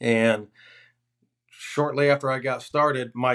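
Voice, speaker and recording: Over a quiet background, a man with an ordinary speaking voice talks at a medium pitch with fairly even intonation. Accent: American. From Florida. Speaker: hunting outfitter. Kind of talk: casual chat.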